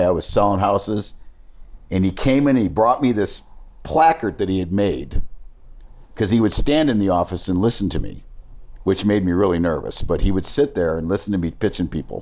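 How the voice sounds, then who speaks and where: Speaking at a moderate pace with ordinary pitch variation, this man has a normal speaking voice, pitched fairly low. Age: 60s. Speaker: sports business executive. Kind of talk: interview storytelling. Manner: conversational, with false starts.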